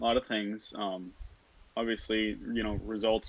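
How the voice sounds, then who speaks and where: In a Minnesotan accent, a man speaks at a fairly low pitch. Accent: Minnesotan, stretched O sounds. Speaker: student team lead. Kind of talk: casual interview. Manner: deadpan.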